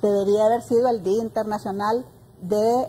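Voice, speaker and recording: A woman speaks at a fairly high pitch in a somewhat breathy, dark, mellow tone. There is light background noise. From Honduras. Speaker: director of a women's services program; guest. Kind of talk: panel discussion. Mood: earnest, engaged. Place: studio. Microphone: lapel.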